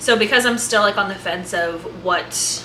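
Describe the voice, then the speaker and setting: The clip has noticeable background noise along with audible room echo. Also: woman. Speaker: lifestyle vlogger. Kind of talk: casual vlog cooking narration. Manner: fast.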